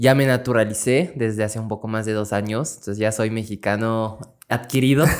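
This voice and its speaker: A man with a French accent speaks at a fairly quick pace. His pitch is medium and his intonation fairly even. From France. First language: French (speaking Spanish). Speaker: political scientist and activist. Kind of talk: casual interview.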